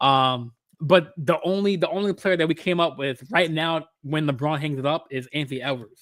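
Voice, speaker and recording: A man's normal speaking voice, fairly high in pitch, with ordinary pitch variation at a moderate pace, in a very clean recording against a silent background. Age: 20s. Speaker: podcast host. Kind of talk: casual chat. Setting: live stream.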